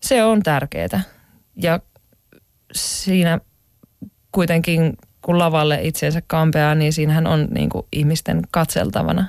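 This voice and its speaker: Very slowly, a woman talks in a very deep, low voice with ordinary pitch variation. Long, frequent pauses break up her speech. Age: 20s. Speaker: aerial acrobat, circus artist. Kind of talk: interview. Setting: studio.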